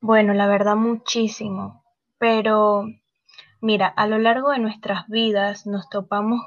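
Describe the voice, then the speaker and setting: A woman's fairly high-pitched voice, very slow, with monotone, flat intonation. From Panama. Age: 20s. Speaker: model. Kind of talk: interview.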